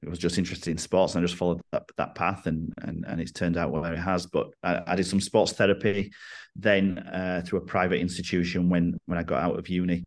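With a northern English accent, a man talks at a fairly quick pace in a very deep, low pitch and monotone, flat intonation. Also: quiet background. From northern England. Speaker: rugby strength and conditioning coach. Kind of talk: podcast interview.

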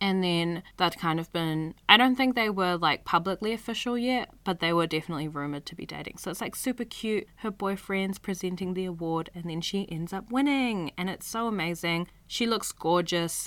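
At a moderate pace and with hardly any pauses, a woman speaks at a fairly low pitch with ordinary pitch variation. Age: 20s. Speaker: podcast host. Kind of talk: casual solo podcast narration.

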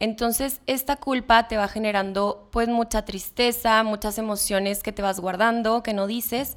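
A woman with an ordinary speaking voice talks at a fairly slow pace with hardly any pauses. Her pitch is fairly high and her intonation fairly even. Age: 20s. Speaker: young mother and communications student. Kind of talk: podcast interview.

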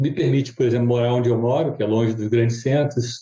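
The man's voice has a medium pitch and a dark, mellow tone, somewhat breathy. He moves at a fairly quick pace with monotone, flat intonation. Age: 70s. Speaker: business consultant and mentor. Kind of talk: casual interview conversation.

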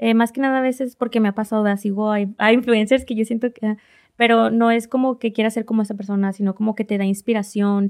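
Very fast, monotone, flat delivery in a very clean recording with a silent background, dry and close with no echo. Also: woman. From northern Mexico, Reynosa, Tamaulipas. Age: 20s. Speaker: social media influencer and small business owner. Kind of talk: interview.

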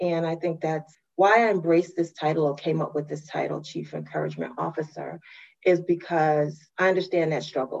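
A woman with a very deep, low pitch and vocal fry speaks at a moderate pace with fairly even intonation. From Brooklyn, New York. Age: 50s. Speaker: university administrator and motivational speaker. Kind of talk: interview.

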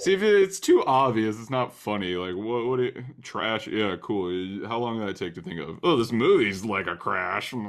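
A man with a normal speaking voice at medium pitch, lively intonation, a moderate pace and hardly any pauses. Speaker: podcast host. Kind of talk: casual chat.

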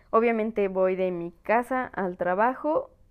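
A woman speaks with a Mexican accent. Her intonation is fairly even. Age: 20s. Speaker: podcaster. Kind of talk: casual monologue.

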